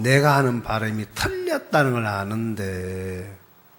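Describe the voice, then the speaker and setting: A man with a strong Gyeongsang accent. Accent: strong Gyeongsang dialect pronunciation. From Gyeongsang region, South Korea. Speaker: pastor. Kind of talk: sermon.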